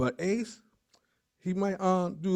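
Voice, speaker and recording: A man with a New York accent speaks in a dark, mellow tone. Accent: New York City. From New York City, the Bronx. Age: 40s. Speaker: guide dog graduate. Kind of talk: graduation speech. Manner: halting, many fillers.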